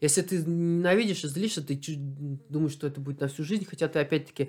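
Speaking at a very fast pace, a man uses a fairly high pitch with ordinary variation. The recording is very clean, with a silent background. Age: 30s. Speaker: athlete. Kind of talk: casual chat. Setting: home interview.

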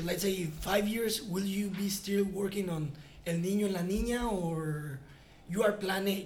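Words come at a fairly slow speed. They are spoken in a Spanish accent. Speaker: podcast host. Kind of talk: interview.

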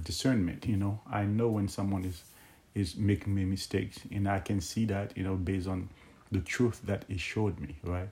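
The voice has a dark, mellow tone and sounds somewhat breathy. It keeps a moderate pace and fairly even intonation. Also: man. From Haiti. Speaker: Bible teacher. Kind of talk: Bible teaching monologue. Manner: halting, many fillers.

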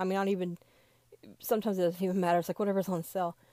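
In a very clean recording with a silent background, a woman with a Southern US accent speaks at a medium pitch. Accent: Southern American. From US South. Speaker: podcast host. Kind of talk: casual monologue. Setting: recording in a closet. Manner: hesitant, many fillers.

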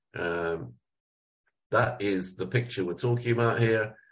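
His voice is somewhat breathy, a man's voice pitched fairly low. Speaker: Torah teacher. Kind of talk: lecture. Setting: video call. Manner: halting.

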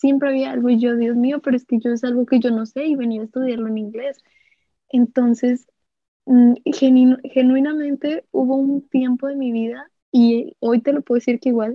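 Speaking at a moderate pace, a woman uses a high pitch. Her intonation is monotone and flat. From Monterrey, northern Mexico. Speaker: student, pageant winner. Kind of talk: casual chat.

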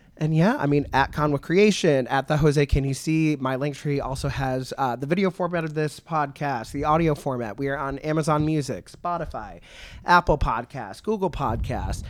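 This is an ordinary speaking voice with ordinary pitch variation. The pace is moderate. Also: man, fairly high pitch for a man. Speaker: podcast host. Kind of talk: casual interview chat. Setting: in person at wrestling event weekend.

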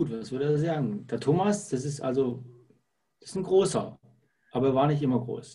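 A man speaks with a dark, mellow tone and lively intonation, somewhat breathy. Long, frequent pauses break up his speech, and the room echo is audible. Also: fairly high pitch for a man, moderate pace. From Lake Constance region, southern Germany. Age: 50s. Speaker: salesperson. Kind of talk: interview. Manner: hesitant with frequent fillers.

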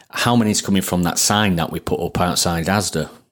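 Very deep, low male voice at a fairly quick pace with ordinary pitch variation, on a very clean recording with a silent background. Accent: Sheffield. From Sheffield, northern England. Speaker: plumber turned marketer and business owner. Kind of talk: casual interview chat.

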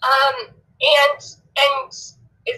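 The voice is raised and projected, bright and sharp in tone, with very wide pitch swings. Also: woman. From Oregon, US (Elmira). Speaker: caller. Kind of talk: phone call on live show.

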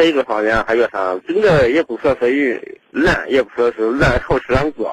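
This man's pitch is medium and his intonation lively, at a moderate pace. The sound is dry and close, with no echo. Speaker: caller. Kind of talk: phone call-in. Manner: halting.

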